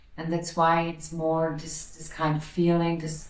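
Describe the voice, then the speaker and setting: A woman with a German accent speaks at a fairly slow pace in a very deep, low pitch, with audible room echo and noticeable background noise. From Austria. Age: 40s. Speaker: psychic medium and energy healer. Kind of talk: interview. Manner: halting, repeating words.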